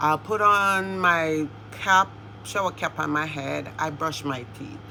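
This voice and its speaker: A woman speaks with a very deep, low pitch and very wide pitch swings. Noticeable background noise sits behind her. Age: 60s. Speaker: beauty and lifestyle vlogger. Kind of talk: casual tutorial vlog.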